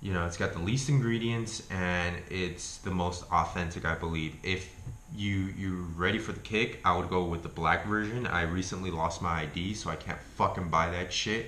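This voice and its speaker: Amid noticeable background noise and audible room echo, a man with a very deep, low pitch speaks at a moderate pace with fairly even intonation. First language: not English. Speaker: YouTuber reviewing health foods. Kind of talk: casual vlog review. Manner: casual, profane.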